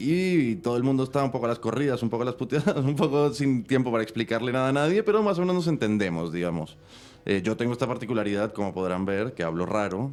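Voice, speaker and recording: Speaking at a very fast pace, a man lets his pitch swing very widely. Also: medium pitch for a man. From Colombia. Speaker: film director and screenwriter. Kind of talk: interview. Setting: studio. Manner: halting, many fillers.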